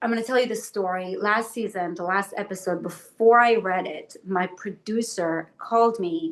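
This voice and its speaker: At a fairly slow pace, a woman talks with an Israeli accent. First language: Hebrew. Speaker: actress. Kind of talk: interview. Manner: halting.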